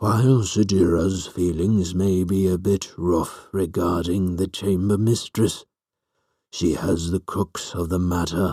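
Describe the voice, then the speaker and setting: In a very clean recording with a silent background, a man uses a put-on character voice with a very deep, low pitch, speaking at a fairly slow pace in a monotone, flat intonation. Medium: read story. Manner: calm, measured.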